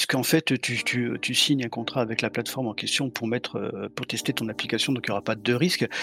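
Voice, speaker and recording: A man talking at a fairly quick pace, dry and close with no echo, amid noticeable background noise. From southern France, Montpellier. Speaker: penetration tester and bug bounty hunter. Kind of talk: casual chat. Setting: live stream recording.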